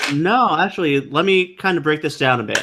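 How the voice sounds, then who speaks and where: Here a man speaks at a fairly high pitch with a bright, sharp tone. The recording is very clean, with a silent background. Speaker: anime podcast co-host. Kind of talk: casual chat. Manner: fast.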